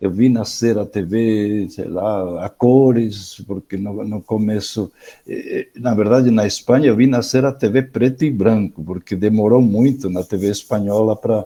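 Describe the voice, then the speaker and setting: Fairly low in pitch and dark, mellow in tone, a man speaks at a fairly slow pace with fairly even intonation and hardly any pauses. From Spain. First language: Spanish (speaking Portuguese). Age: 70s. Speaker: education professor. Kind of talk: online lecture. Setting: online video session. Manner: halting, with many repetitions and fillers.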